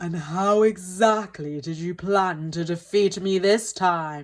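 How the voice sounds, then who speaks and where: Using a put-on character voice, a woman of medium pitch speaks at a fairly slow pace. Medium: read story.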